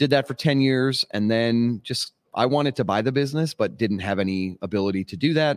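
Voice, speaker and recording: An unremarkable speaking voice belongs to a man with an American accent, medium pitch and ordinary pitch variation, talking at a fairly quick pace with hardly any pauses. The recording is very clean, with a silent background and a dry, close sound with no echo. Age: 40s. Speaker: cigar industry sales rep, former vocalist. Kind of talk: casual chat.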